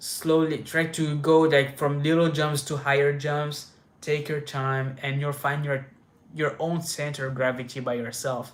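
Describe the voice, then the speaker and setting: A man speaks at a fairly slow pace with a fairly high pitch and monotone, flat intonation. Audible room echo surrounds his voice. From France. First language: French. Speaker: inline skating youtuber. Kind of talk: live stream Q&A. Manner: casual, many fillers and restarts.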